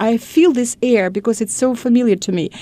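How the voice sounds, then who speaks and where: In a Russian accent, a woman speaks at a high pitch with ordinary pitch variation. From Russia, Moscow. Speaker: educator. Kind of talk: interview. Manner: halting.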